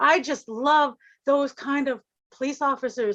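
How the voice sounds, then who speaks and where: A woman's high-pitched, raised, projected voice. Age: 60s. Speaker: mother of a missing woman. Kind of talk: interview.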